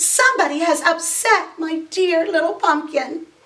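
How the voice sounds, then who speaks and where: A woman uses a put-on character voice, squeaky and extremely high in pitch. She talks at a moderate pace with ordinary pitch variation. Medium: read story.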